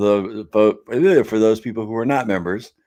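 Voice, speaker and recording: A man's fairly low voice at a fairly slow pace, on a very clean recording with a silent background. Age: 50s. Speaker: live stream host. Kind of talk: casual live stream chat, reading comments. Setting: live stream. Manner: casual, conversational.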